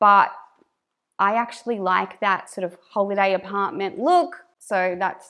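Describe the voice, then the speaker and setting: A woman speaks with a strong northern Australian accent. Her pitch is medium, with ordinary variation. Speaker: YouTuber, stay-at-home mum. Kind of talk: casual reaction commentary. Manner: animated, talks with hands; careful enunciation.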